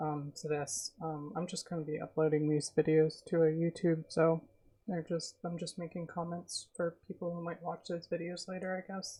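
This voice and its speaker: Soft-spoken and somewhat breathy, a woman talks at a moderate pace. Her voice is fairly low with monotone, flat intonation. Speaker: streamer. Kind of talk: casual chat. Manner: soft-spoken, reserved.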